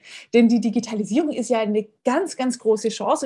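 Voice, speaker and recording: A woman with a fairly high pitch speaks at a fairly quick pace, her tone dark and mellow and somewhat breathy. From Baden-Württemberg, near Tübingen. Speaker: history professor. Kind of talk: interview. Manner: hesitant with frequent fillers.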